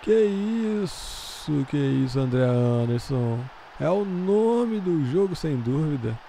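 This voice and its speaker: A man speaks at a very slow pace with very wide pitch swings. Noticeable background noise is present. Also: fairly high pitch for a man. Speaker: gaming channel commentator. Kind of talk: live sports commentary over a Football Manager match. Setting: recorded voiceover over game footage. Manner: conversational, filler-heavy, with a tacked-on 'né?'.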